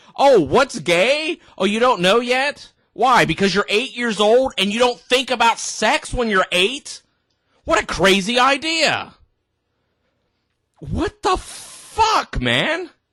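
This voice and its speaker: With a raised, projected voice, a man speaks very slowly at an extremely high pitch, his tone bright and sharp and his intonation lively. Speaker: reaction video commentator. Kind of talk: reaction commentary. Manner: animated.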